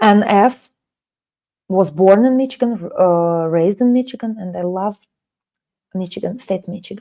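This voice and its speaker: Her delivery is moderate in pace, broken by long, frequent pauses, with big swings in loudness. The woman's medium-pitched voice has a dark, mellow tone and ordinary pitch variation. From Russia, Kaliningrad. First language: Russian. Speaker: language teacher. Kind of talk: live online lesson. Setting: live stream.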